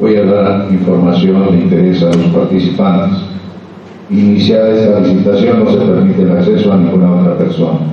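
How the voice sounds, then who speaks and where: A man with a fairly low voice speaks at a moderate pace and with fairly even intonation, with strong room echo and light background noise. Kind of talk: formal procedural reading. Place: meeting room. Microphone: camera far.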